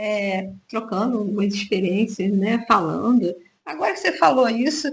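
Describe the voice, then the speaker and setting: At a moderate pace, a woman with a fairly high pitch speaks with vocal fry. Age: 60s. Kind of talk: casual radio chat.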